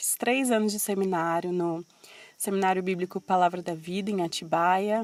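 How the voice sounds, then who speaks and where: This is a woman with an ordinary speaking voice. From Brazil, São Paulo coast. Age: 20s. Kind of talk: personal testimony in podcast. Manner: casual, conversational.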